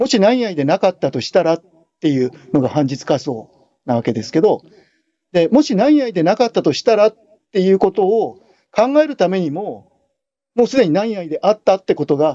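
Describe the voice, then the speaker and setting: A man's high-pitched voice at a moderate pace, with very wide pitch swings and long, frequent pauses. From Japan, Kanagawa. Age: 60s. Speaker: philosophy professor. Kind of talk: interview.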